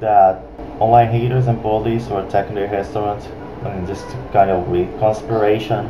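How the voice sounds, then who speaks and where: A man talks at a fairly quick pace with a fairly low pitch. Noticeable background noise runs behind him. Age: young. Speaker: YouTube commentator. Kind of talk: commentary reaction video. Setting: webcam microphone. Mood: critical, mocking. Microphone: webcam.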